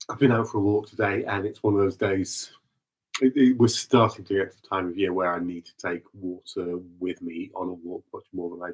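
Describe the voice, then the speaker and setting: At a fairly quick pace, a man with a fairly low pitch and fairly even intonation speaks with big swings in loudness, the sound dry and close with no echo. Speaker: vocal improvisation artist. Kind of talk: casual spoken reflection reading from notes. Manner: halting, many repetitions and fillers.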